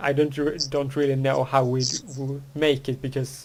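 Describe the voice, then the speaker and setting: A man speaks at a fairly slow pace with a medium pitch. His intonation is monotone and flat. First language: Swedish. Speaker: podcast host. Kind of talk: casual chat. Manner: halting, many false starts.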